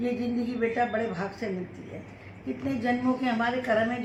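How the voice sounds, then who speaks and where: Fairly high-pitched woman's voice with audible room echo and noticeable background noise. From Faridabad, Haryana, India. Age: 70s. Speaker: mother-in-law of vlogger. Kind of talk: casual chat.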